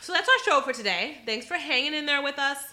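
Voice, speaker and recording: A woman speaks very fast in a high, raised, projected voice. Her pitch swings very widely, and background noise is noticeable. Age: 20s. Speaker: podcast co-host. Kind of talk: casual chat.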